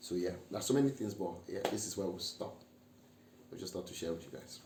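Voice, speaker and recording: Somewhat breathy and dark, mellow in tone, a man talks at a fairly quick pace with ordinary pitch variation amid audible room echo. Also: fairly low pitch for a man. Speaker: married couple vlogger. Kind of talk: casual chat.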